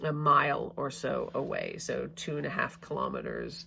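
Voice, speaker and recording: Over a silent background on a very clean recording, a woman speaks fairly slowly with vocal fry. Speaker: Bible study teacher. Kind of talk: casual talk to camera, Bible study lesson. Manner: hesitant, many fillers and stutters; slow, long-winded.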